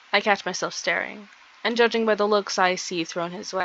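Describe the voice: Someone does plain reading aloud.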